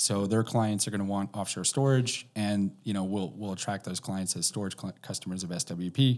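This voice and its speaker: A man with a Canadian accent has a plain, everyday voice, pitched fairly low. He keeps a moderate pace and fairly even intonation, with hardly any pauses. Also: very clean recording, silent background. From Canada. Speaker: precious metals storage executive. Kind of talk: casual interview.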